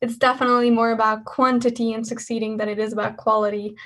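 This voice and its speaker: A woman's fairly high voice with a Hungarian accent, at a very fast pace. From Hungary. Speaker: engineering student. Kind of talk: talk at an online student event. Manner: talkative, lively.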